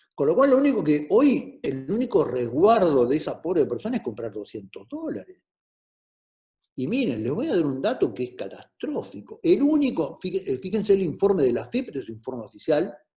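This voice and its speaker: A man with an Argentine accent speaks at a moderate pace in a high pitch with a dark, mellow tone. His pitch swings very widely. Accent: Argentine Spanish (Rioplatense). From Argentina. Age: 60s. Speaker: politician. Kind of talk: talk to students.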